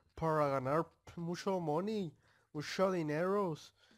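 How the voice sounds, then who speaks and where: This man has a fairly high pitch and speaks with a Mexican accent. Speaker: gaming youtuber. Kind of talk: gameplay commentary. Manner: animated.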